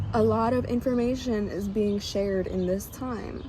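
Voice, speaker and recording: A woman speaks in an animated tone. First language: not English. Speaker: tarot reader. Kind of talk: casual spiritual reading monologue. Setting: outdoors. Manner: animated, casual.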